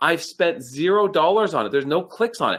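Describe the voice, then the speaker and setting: A man speaks with a high pitch. His voice swings very widely up and down. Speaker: online advertising trainer. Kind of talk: live webinar training presentation. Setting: live online stream. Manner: fast, excited.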